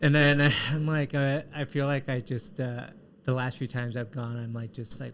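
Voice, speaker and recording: A man of medium pitch at a moderate pace, an unremarkable speaking voice. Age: 30s. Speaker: podcast host. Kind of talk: casual interview chat.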